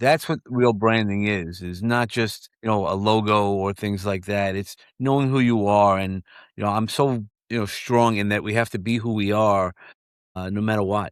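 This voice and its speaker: In a very clean recording with a silent background and a dry, close sound with no echo, a man with a slight New York accent speaks at a fairly low pitch and a moderate pace with fairly even intonation. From New York, Brooklyn. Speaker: mentor and book publisher. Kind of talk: interview conversation. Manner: halting, many fillers and repeats.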